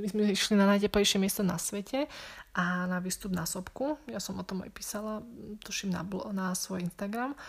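A woman speaks at a medium pitch and moderate pace, her voice somewhat breathy. Her pitch varies in an ordinary way on a very clean recording with a silent background. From Slovakia. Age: 20s. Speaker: podcaster, returned volunteer. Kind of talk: casual Q&A monologue.

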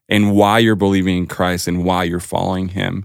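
In a very clean recording with a silent background, a man with a Spanish accent speaks at a fairly low pitch. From Colombia. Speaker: junior high youth pastor. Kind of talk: casual chat. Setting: studio.

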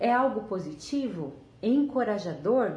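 A woman is speaking. Her voice carries audible room echo along with noticeable background noise. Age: 30s. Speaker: weight-loss storyteller. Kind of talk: personal testimony and motivational talk.

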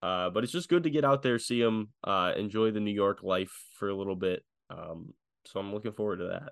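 In a plain, everyday voice, a man talks at a fairly quick pace with fairly low pitch and lively intonation over a quiet background. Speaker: sports podcast host. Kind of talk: casual sports chat.

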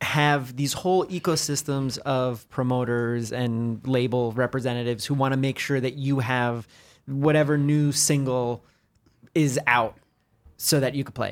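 At a moderate pace, a man talks in an ordinary speaking voice of medium pitch with fairly even intonation. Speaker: DJ and record label co-founder. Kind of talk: casual chat. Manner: joking.

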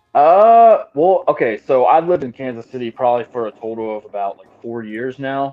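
An ordinary speaking voice from a man, fairly quick, with lively intonation and big swings in loudness. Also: medium pitch for a man. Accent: American. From Texas, Austin area. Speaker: professional wrestler. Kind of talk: casual chat.

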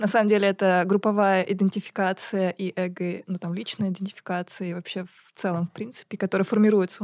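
A woman's very fast, monotone, flat delivery, dry and close with no echo, on a very clean recording with a silent background. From Buryatia, Russia. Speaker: podcast co-host. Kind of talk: debate. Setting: studio.

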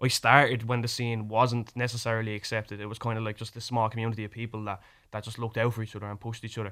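In a very clean recording with a silent background, a man speaks very fast at medium pitch in a monotone, flat intonation. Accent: Irish. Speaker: rapper. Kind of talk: radio interview. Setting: studio.

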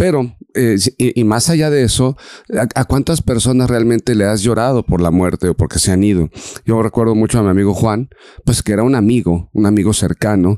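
A man speaks at a fairly quick pace at a medium pitch, his dark, mellow tone holding a very even loudness with ordinary pitch variation, in a dry, close sound with no echo. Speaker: podcast co-host. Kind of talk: reflective casual conversation.

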